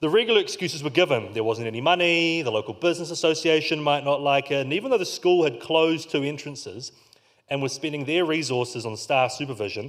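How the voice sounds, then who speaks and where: A man with a New Zealand accent talks at a very fast pace. His voice is fairly high, with lively intonation. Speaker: community organiser. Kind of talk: conference keynote talk.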